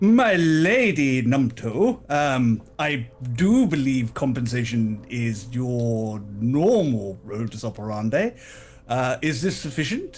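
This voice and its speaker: A loud, booming put-on character voice at a low-to-middle pitch, at a fairly slow pace. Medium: actual play. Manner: loud, pompous.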